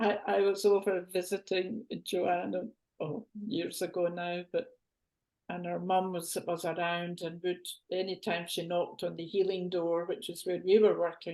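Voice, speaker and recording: A woman with a Glaswegian accent, fairly low-pitched with a dark, mellow tone, fairly slow and flat in a monotone, against a quiet background. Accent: Glaswegian Scottish. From Scotland, Glasgow. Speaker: co-host of spiritual talk show. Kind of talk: casual chat.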